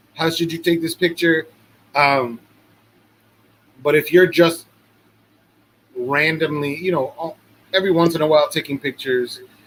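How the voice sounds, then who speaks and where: Long, frequent pauses break up speech delivered at a moderate pace with fairly even intonation. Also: man, fairly high pitch for a man. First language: not English. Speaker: podcast co-host. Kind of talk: casual chat.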